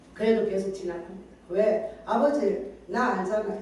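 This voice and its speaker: At a moderate pace, a woman with a fairly high voice speaks over noticeable background noise, with audible room echo. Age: 60s. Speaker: pastor. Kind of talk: sermon.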